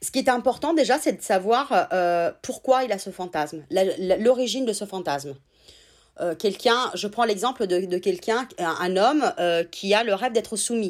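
A woman with an Italian accent speaks at medium pitch and a moderate pace with lively intonation on a very clean recording with a silent background. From Italy, raised in France from childhood. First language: Italian (speaking French). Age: 30s. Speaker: sex therapist. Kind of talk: interview.

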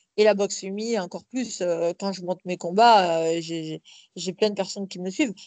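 A woman with a plain, everyday voice talks at a moderate pace in a medium pitch with ordinary pitch variation. Her loudness swings widely, and the sound is dry and close with no echo. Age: 30s. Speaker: professional boxer and police officer. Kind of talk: interview.

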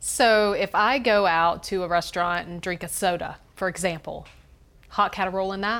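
In an unremarkable speaking voice, a woman with an American accent talks at medium pitch and a moderate pace with fairly even intonation, on a very clean recording with a silent background. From Greenville, South Carolina. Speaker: podcast host. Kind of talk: interview.

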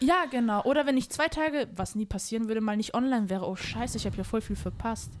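A woman speaks at a fairly high pitch with lively intonation. Her pace is very fast, with hardly any pauses. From Germany. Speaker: podcast guest. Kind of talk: casual chat. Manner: animated.

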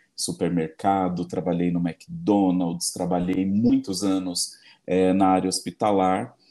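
A man's very deep, low voice, dark and mellow in tone, at a fairly slow pace. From Brazil, São Paulo area (Embu das Artes). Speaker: psychologist. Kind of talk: casual interview chat.

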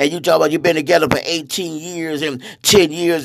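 An animated, fairly quick delivery over noticeable background noise. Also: man. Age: 60s. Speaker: preacher. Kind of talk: sermon-style monologue.

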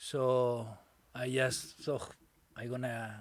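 A man with a Catalan accent speaks at a medium pitch, recorded very cleanly against a silent background. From Spain, Barcelona. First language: Spanish or Catalan. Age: 40s. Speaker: Buddhist meditation community organizer. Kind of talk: casual interview.

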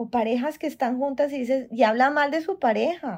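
Against a quiet background, a woman speaks at a high pitch in a dark, mellow tone, at a moderate pace with ordinary pitch variation. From Colombia, Cali. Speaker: women's community founder, podcast co-host. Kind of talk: casual conversational podcast. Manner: animated.

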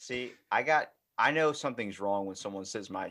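This man speaks at a fairly slow pace. His pitch is fairly low, and the background is quiet. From Baltimore, US. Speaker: podcast host. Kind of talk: casual chat. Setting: video call.

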